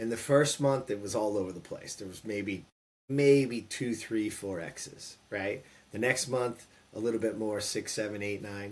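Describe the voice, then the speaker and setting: A man with an unremarkable speaking voice talks at a moderate pace, medium in pitch with ordinary pitch variation. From California. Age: 50s. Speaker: former pro baseball player and entrepreneur. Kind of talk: interview storytelling.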